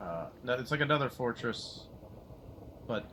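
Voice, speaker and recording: A man speaks quietly at a moderate pace, his pitch sitting in the middle range. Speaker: gaming streamer. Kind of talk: casual live stream commentary. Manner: hesitant, many fillers.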